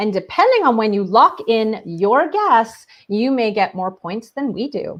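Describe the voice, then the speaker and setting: Speaking at a fairly slow pace, a woman with a Canadian accent uses a fairly high pitch and lively intonation. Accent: Canadian, noticeable. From Ontario, Canada. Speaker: teacher librarian and show co-host. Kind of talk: casual online show chat.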